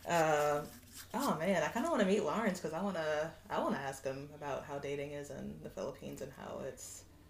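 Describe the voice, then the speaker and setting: With an American accent, a woman speaks fairly quickly in a very deep, low pitch, with ordinary pitch variation over noticeable background noise. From Kansas. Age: 20s. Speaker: guest. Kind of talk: casual chat.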